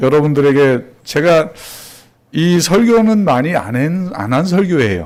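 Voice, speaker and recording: Speaking at a fairly slow pace with lively intonation, a man has a plain, everyday voice. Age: 60s. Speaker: pastor. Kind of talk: sermon. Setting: church.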